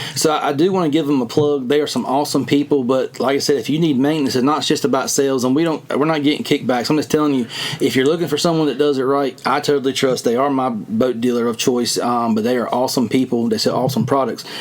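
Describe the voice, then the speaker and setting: At a very fast pace, a man speaks with a fairly high pitch and ordinary pitch variation over noticeable background noise. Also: hardly any pauses, very even loudness. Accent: strong Southern US. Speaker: fishing podcast host. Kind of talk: casual chat.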